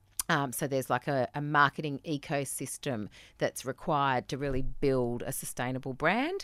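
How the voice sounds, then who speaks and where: A woman with a very deep, low pitch speaks at a moderate pace in an Australian accent, her intonation fairly even. The sound is dry and close with no echo. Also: very clean recording, silent background. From New South Wales mid-north coast, Australia. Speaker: marketing business owner.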